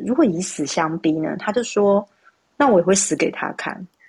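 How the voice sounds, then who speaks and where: Medium-pitched female speech with very wide swings in pitch. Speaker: human design analyst. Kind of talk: casual chat. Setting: live social audio room.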